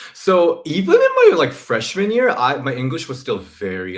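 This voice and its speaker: Speaking at a moderate pace, a man talks with a Korean accent. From South Korea. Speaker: women's wrestling YouTuber. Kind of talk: casual chat.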